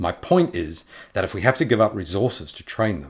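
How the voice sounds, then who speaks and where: Very fast speech comes from a man with a fairly low pitch. His voice is somewhat breathy. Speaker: podcast host and author reading his own fantasy novel. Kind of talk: dramatic narration of fantasy fiction, reading aloud with character voices.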